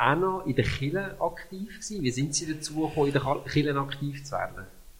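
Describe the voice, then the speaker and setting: With a plain, everyday voice, a man talks at a fairly quick pace in a fairly high pitch. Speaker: church podcast host. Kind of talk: interview.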